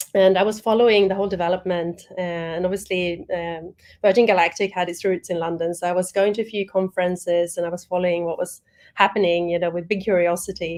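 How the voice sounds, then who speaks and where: A woman's very fast, monotone delivery with flat intonation. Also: medium pitch for a woman. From Sweden. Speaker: spaceport executive. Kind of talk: panel discussion.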